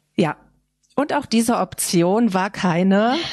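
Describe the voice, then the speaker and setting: With ordinary pitch variation, a woman uses an ordinary speaking voice. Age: 40s. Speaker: photographer and designer in alcohol recovery. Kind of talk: interview about personal recovery.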